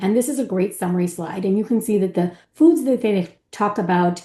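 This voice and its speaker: A woman's dark, mellow voice over a quiet background. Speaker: physician. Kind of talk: panel presentation. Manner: fast.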